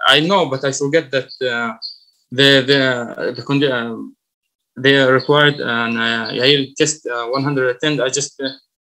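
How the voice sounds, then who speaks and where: A man with an Arabic accent speaks at a moderate pace. His voice sits at a medium pitch with a bright, sharp tone. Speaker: college student. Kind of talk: class presentation. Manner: halting, many fillers.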